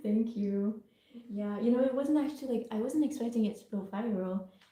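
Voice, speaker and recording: Her tone is dark and mellow, and the woman sounds somewhat breathy. She speaks at a moderate pace. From England. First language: Italian. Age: young. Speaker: artist. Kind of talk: casual livestream Q&A.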